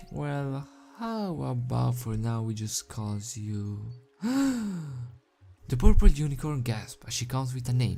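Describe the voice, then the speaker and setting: A man's medium-pitched voice with lively intonation and music in the background. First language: not English. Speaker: fanfiction reader, youtuber. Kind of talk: reading aloud. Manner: halting.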